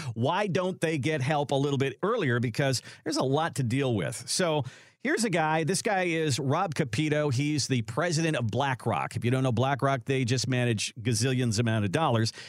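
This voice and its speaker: This man has an unremarkable speaking voice, fairly high in pitch, with lively intonation. He keeps a moderate pace and very even loudness. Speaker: radio show host. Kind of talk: casual radio talk show chat.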